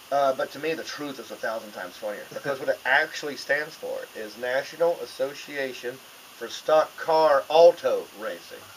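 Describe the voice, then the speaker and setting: A man with a Southern US accent speaks with big swings in loudness against noticeable background noise. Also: moderate pace. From US South, North Carolina (Hickory). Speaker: comedian. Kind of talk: casual chat. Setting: radio studio.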